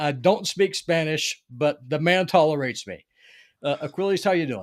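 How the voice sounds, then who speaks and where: With a Southern US accent, a man speaks at a moderate pace in a fairly high pitch with ordinary pitch variation. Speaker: podcast host. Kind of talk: casual interview chat. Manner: halting, many fillers.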